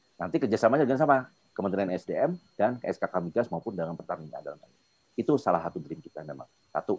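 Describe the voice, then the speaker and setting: With very wide pitch swings and big swings in loudness, a man talks at a very fast pace. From Jakarta, Indonesia. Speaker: invited speaker, industry professional; speaker. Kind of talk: webinar presentation with Q&A. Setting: video call. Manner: informal, filler-heavy. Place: home room. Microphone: video call.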